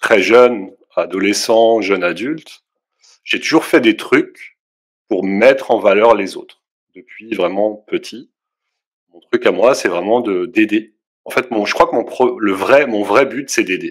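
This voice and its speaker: The speech goes at a very slow pace. Long pauses come often. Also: man. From Alsace, France. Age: 40s. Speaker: videographer and photographer. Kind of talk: interview. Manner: hesitant, many fillers.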